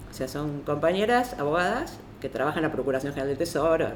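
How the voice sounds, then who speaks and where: The voice moves at a fairly quick pace with very wide pitch swings, and there is audible room echo. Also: woman. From Argentina. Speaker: lawyer and feminist activist. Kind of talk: panel talk.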